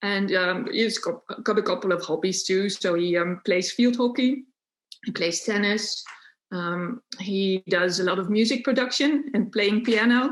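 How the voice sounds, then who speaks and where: This woman has a Dutch accent. Her pitch is medium, with ordinary pitch variation. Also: fairly slow pace. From Netherlands. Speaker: unschooling parent and homeschooling activist. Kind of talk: podcast interview. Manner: hesitant, many fillers.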